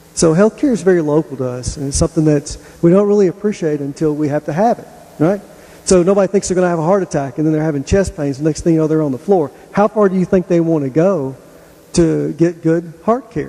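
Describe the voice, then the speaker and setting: Over noticeable background noise, a man with a Tennessee accent talks at a very fast pace, his fairly high voice showing ordinary pitch variation. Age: 50s. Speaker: hospital executive. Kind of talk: public presentation.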